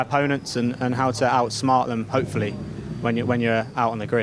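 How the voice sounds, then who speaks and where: A man with a British accent. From United Kingdom. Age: 20s. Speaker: racing driver. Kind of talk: interview answer. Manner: casual, hesitant.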